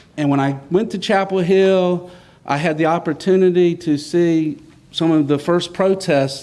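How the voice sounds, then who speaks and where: In a North Carolina accent, a man speaks with a dark, mellow tone, a fairly high pitch and fairly even intonation. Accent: US Southern (North Carolina). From North Carolina, Johnston County (Smithfield). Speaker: state senator. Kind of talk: public speech. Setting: church with audience.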